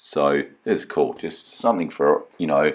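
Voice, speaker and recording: In an Australian accent, the speech unfolds at a fairly slow pace. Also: man. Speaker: car enthusiast vlogger. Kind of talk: video voiceover narration. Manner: casual, many filler ums.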